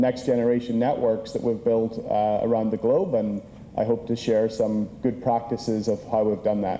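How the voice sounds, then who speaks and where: A man talks in an unremarkable speaking voice. His pitch sits in the medium range. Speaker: conference speaker. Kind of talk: conference presentation.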